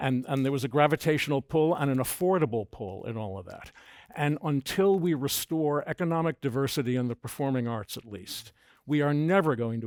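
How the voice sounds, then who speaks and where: A man with a New York accent speaks at a moderate pace and a fairly high pitch, his intonation lively, in a very clean recording with a silent background and a dry, close sound with no echo. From New York City. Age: 70s. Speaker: arts foundation president. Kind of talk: panel discussion.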